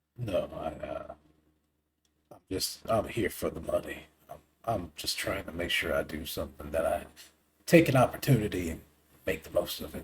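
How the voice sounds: A put-on character voice with a Southern accent comes out raspy at a moderate pace. Loudness swings widely, broken by long, frequent pauses. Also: man.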